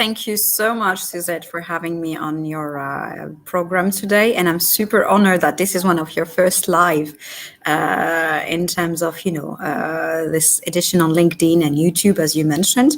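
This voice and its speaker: Hardly any pauses break this moderate-paced speech, delivered with fairly even intonation against noticeable background noise. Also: woman, fairly low pitch for a woman. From Algeria. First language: Arabic. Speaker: marketing entrepreneur. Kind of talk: casual interview on a livestream. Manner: hesitant, with many fillers.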